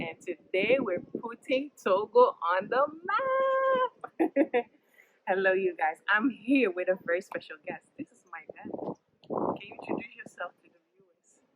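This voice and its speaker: A woman has a normal speaking voice, pitched fairly high, at a fairly slow pace. Her intonation is lively, and her loudness swings widely. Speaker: YouTube family vlogger. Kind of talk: sit-down interview, asking questions.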